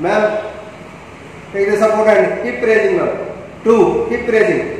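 A man's high voice with an Indian accent, in strong room echo with light background noise. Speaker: fitness trainer. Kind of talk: workout instruction, live rep counting. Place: gym. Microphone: camera far.

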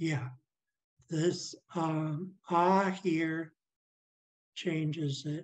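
Her intonation monotone and flat, a woman talks at a very deep, low pitch. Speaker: language teacher. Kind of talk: language class.

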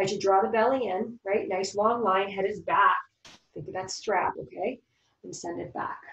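A woman speaks at a moderate pace with ordinary pitch variation and big swings in loudness. Audible room echo and light background noise surround her voice. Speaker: yoga teacher. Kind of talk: guided yoga class instruction. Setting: online live class. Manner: gentle, encouraging. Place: home room. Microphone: camera far.

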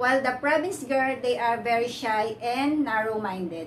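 Light background noise is present. A woman talks at a fairly slow pace over it. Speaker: vlogger. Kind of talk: casual vlog chat. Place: home room. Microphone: camera far.

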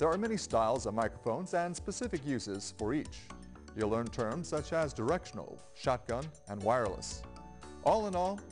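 Faint music plays behind a man who speaks at a fairly quick pace with very wide pitch swings. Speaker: spokesperson. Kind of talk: PSA spokesperson read to camera. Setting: TV studio. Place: studio.

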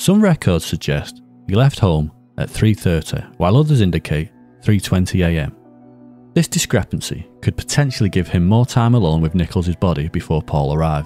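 A northern English accent in a dry, close sound with no echo, with music in the background. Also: man, very deep, low pitch for a man, lively intonation, moderate pace. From Northern England. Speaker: true crime narrator. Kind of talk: true crime documentary narration.

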